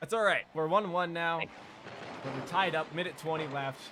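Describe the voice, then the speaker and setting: Here is a man with a fairly high voice. His intonation is lively. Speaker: esports coach reviewing replays. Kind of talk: replay review commentary. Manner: words blur together when talking long.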